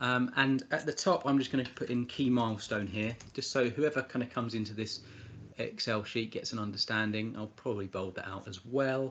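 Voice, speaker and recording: The man talks at a fairly quick pace. He has an English accent. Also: medium pitch for a man, ordinary pitch variation. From England. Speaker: spreadsheet tutorial presenter. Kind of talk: tutorial. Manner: hesitant, many fillers and repeats.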